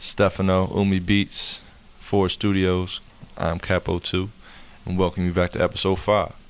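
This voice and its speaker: In a calm tone, a man speaks at a very deep, low pitch and a moderate pace with monotone, flat intonation. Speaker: podcast host. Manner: calm, laid-back.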